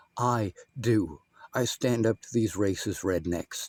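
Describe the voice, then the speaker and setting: A medium-pitched man at a moderate pace, with ordinary pitch variation and a dry, close sound with no echo. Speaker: video commentator. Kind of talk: commentary over clips. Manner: loud.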